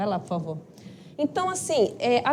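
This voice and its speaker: Shrill and high-pitched, a woman's voice cuts through. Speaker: spiritist study group lecturer. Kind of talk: lecture. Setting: live-streamed talk with audience, microphone.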